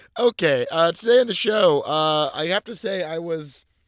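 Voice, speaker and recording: The man's high-pitched voice moves with lively intonation. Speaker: podcast co-host. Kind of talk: casual chat. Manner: halting, pauses between words; hurried today.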